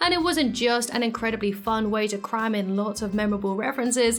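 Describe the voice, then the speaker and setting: The speech runs at a fairly quick pace, with audible room echo and noticeable background noise. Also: woman. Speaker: YouTube commentator. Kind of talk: video essay voiceover. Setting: home office. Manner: scripted, clear.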